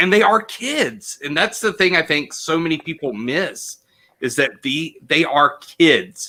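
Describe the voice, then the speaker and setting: A man talks loudly at a fairly slow pace, his pitch high and his intonation lively. His tone is bright and sharp. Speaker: teacher and actor. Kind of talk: interview conversation. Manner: loud, boisterous.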